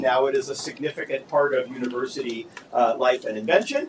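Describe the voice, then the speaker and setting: Loud and very fast, a man talks with lively intonation over noticeable background noise. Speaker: law professor. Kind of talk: conference panel talk.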